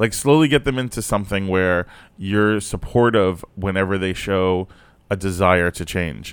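Here is a man with a normal speaking voice and an American accent. He talks at a moderate pace, fairly low in pitch, with ordinary pitch variation. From South Florida. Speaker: comedian. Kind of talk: casual chat.

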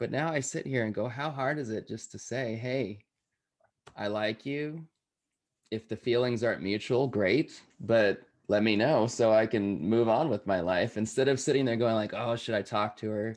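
With an American accent, a man speaks in an unremarkable speaking voice of medium pitch, at a moderate pace with ordinary pitch variation. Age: 30s. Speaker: podcast host and guest sharing life story. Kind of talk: interview, personal story.

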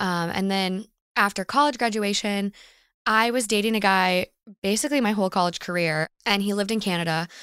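Heard dry and close with no echo, a woman with a plain, everyday voice talks at a medium pitch and a fairly quick pace. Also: ordinary pitch variation, very clean recording, silent background. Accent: American. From Minnesota. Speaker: podcaster. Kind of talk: casual chat.

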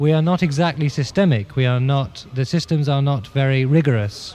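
Amid noticeable background noise, a man talks at a moderate pace, fairly high in pitch, with ordinary pitch variation. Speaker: composer and band leader. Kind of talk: interview about his music group. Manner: hesitant, halting with fillers.

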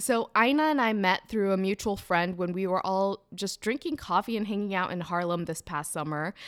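Animated and lively in intonation, a woman speaks at a medium pitch and a moderate pace. The recording is very clean, with a silent background. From Ethiopia, moved to US at 15. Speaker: podcast host. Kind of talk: scripted intro and ad read; interview conversation.

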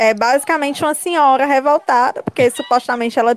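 A woman with a Cearense accent speaks at high pitch, recorded dry and close with no echo. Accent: Cearense Northeastern Brazilian Portuguese. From Ceará, Brazil (Fortaleza). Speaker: podcast guest. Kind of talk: casual chat.

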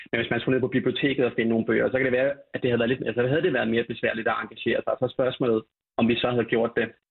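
At a very fast pace, a man speaks at medium pitch with fairly even intonation and very even loudness. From Denmark, Falster. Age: 30s. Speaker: party leader. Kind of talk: radio debate.

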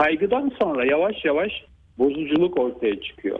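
This man has a plain, everyday voice. He speaks at a fairly high pitch with lively intonation. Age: 50s. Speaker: neurologist. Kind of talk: radio interview. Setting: phone call. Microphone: phone line.

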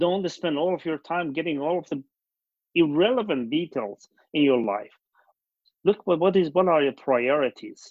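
A man with a Persian accent and a fairly high pitch speaks at a moderate pace, using lively intonation and long, frequent pauses. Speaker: company founder and CEO. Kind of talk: casual interview conversation. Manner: halting, with many fillers.

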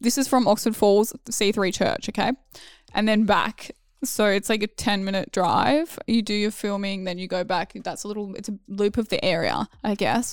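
Recorded very cleanly against a silent background, a woman with an Australian accent speaks at a medium pitch and a moderate pace. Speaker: former reality TV contestant. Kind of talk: casual chat.

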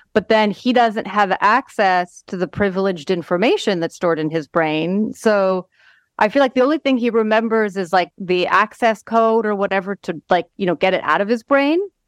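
A woman with an ordinary speaking voice talks at a medium pitch and a moderate pace with ordinary pitch variation, over a quiet background with a dry, close sound and no echo. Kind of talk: casual chat.

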